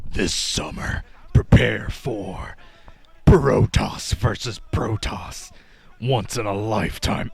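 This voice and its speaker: A man's put-on character voice, raspy and medium in pitch, at a very slow pace. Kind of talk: trailer narration. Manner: dramatic.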